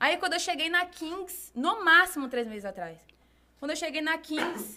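A woman is speaking. Her pitch swings very widely. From Brazil, Bahia (Salvador). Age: 20s. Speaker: fashion and lifestyle blogger, singer and model. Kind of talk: casual interview chat.

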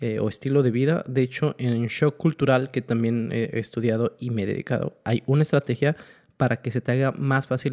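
On a very clean recording with a silent background, a man speaks quietly at a medium pitch and moderate pace with fairly even intonation. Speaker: podcast co-host. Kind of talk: casual chat. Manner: quiet, level voice.

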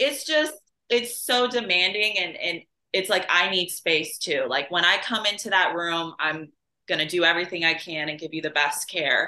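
With an American accent, a woman speaks at a moderate pace in an unremarkable speaking voice pitched fairly low. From Chicago area. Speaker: nurse. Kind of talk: casual interview chat.

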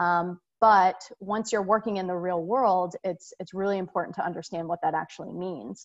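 A woman speaks in a normal speaking voice at a moderate pace, her medium pitch held in fairly even intonation with hardly any pauses. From Singapore, raised overseas by American parents. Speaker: sports marketing executive. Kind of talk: interview.

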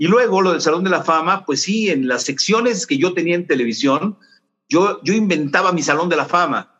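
With a Mexican accent, a man speaks in a high, bright, sharp voice with lively intonation. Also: moderate pace, very even loudness. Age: 60s. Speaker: sports journalist. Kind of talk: interview.

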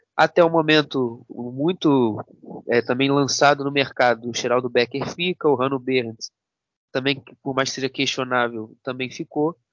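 Fairly slow, fairly even speech from a man at medium pitch. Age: 20s. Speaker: football analyst. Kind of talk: casual chat. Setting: remote call. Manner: halting.

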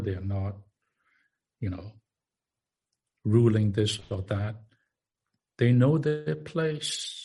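A man's somewhat breathy voice, fairly low in pitch, with a dark, mellow tone. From Far East. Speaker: minister. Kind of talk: sermon. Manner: halting.

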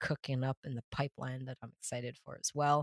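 Fairly quick speech in an American accent. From Massachusetts, US. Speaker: illustrator and art director. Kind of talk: casual interview chat.

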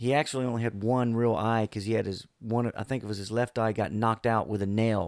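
Monotone and flat, an American-accented voice moves at a fairly quick pace in a very clean recording with a silent background and a dry, close sound with no echo. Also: man. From US South, Florida Panhandle. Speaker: air force veteran. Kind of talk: casual chat with storytelling. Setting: studio.

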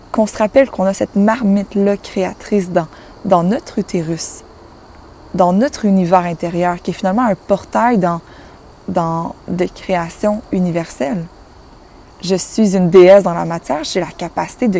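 A woman speaks at a fairly slow pace in a medium pitch, with ordinary pitch variation and long, frequent pauses over noticeable background noise. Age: 20s. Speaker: spiritual life coach, podcast host. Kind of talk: solo inspirational monologue.

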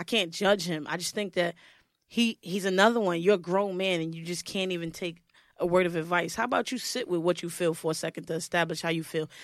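In a New York accent, a woman with fairly low pitch talks at a very fast pace on a very clean recording with a silent background. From Brooklyn, New York. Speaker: podcast co-host. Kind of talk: casual chat.

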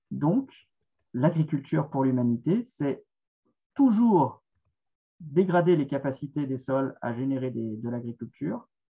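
A man talks very slowly with long, frequent pauses, somewhat breathy. His pitch is fairly high and his intonation lively. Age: 40s. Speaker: author and essayist. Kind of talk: interview answering questions. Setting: video call.

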